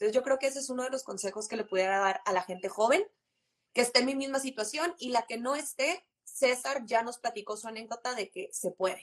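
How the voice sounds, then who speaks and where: A woman with a high voice talks at a fairly quick pace, her intonation lively. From Monterrey, northern Mexico. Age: 20s. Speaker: insurance and investment advisor. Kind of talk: casual chat on a live stream. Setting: live stream, remote connection.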